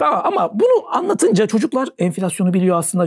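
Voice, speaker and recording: This man speaks in an animated tone. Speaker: savings and investment expert. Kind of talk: talk show interview. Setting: studio. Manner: fast.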